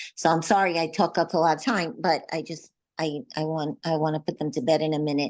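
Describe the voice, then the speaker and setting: Over a quiet background, a woman with a very deep, low pitch talks fairly quickly with ordinary pitch variation. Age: 70s. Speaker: zoom call participant. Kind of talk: personal sharing in group call. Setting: video call. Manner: halting.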